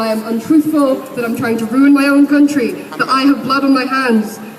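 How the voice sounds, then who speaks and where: The speaker moves at a fairly quick pace with fairly even intonation while noticeable background noise runs underneath. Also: woman. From Egypt. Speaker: protest speaker. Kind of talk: protest speech. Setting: outdoors at a street protest. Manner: impassioned.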